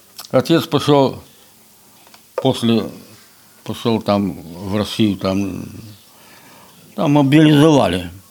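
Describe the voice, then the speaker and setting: With lively intonation, a man speaks at a very slow pace with long, frequent pauses over noticeable background noise. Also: medium pitch for a man. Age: 80s+. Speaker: folk instrument maker and musician. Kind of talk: casual interview. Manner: halting.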